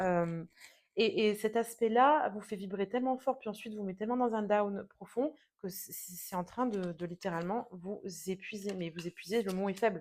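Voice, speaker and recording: This woman talks at a moderate pace and a medium pitch. Her pitch variation is ordinary. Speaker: tarot reader. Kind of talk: tarot reading monologue. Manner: hesitant, many fillers.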